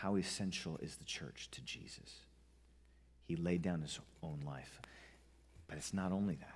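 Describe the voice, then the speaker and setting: With an American accent, a man speaks at a very deep, low pitch and a moderate pace, using ordinary pitch variation and long, frequent pauses. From US West (Montana, Southern California). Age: 30s. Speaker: pastor. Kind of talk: sermon. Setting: church.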